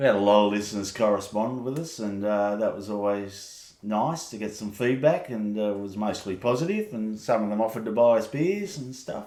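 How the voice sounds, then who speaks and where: Noticeable background noise sits behind a man with an Australian accent. His fairly low voice moves at a fairly quick pace with ordinary pitch variation and hardly any pauses. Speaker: podcast co-host. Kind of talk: casual chat. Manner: loud.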